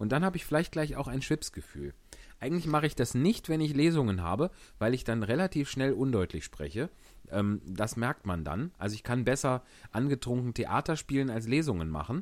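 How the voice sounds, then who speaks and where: A man talks at a fairly quick pace, pitched in the middle range. His pitch swings very widely. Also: very clean recording, silent background. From Germany, Wuppertal. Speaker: actor and podcast host. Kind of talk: casual chat and reading aloud.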